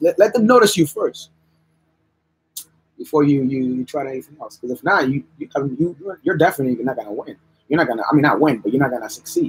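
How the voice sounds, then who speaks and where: Somewhat breathy man, fairly high in pitch, with lively intonation at a fairly quick pace. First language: bilingual English and Spanish, English stronger. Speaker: artist livestreaming while drawing. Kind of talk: casual livestream chat. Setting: live stream. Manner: repetitive, halting restarts.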